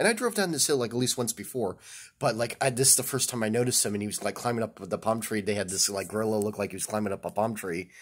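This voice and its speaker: With ordinary pitch variation, a man talks very fast over a quiet background. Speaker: vlogger. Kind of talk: casual vlog chat. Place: home room. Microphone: phone near.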